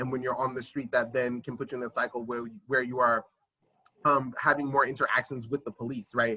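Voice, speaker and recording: A man speaks in a monotone with flat intonation, the sound dry and close with no echo. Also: medium pitch for a man, fairly quick pace. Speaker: housing advocate. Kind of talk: community meeting presentation. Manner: fast.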